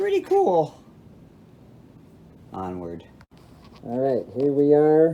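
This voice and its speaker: A man talks at a very slow pace. His speech is broken by long, frequent pauses. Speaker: amp restorer. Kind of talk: tutorial. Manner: casual.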